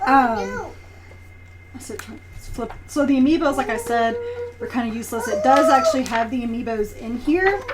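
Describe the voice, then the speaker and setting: A woman's high pitch with ordinary pitch variation and long, frequent pauses, amid noticeable background noise and audible room echo. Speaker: strategy guide reviewer. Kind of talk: product review. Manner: fast; casual, filler-heavy.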